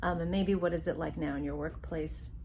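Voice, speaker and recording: A woman talking at a moderate pace with audible room echo. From US, Taiwanese Chinese immigrant family. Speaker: university counselor, psychologist. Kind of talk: educational talk to camera.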